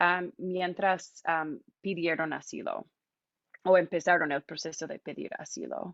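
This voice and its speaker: In an English accent, a woman speaks very slowly at a medium pitch. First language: English (speaking Spanish). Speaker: immigration volunteer and speaker. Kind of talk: public talk. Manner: halting, many fillers.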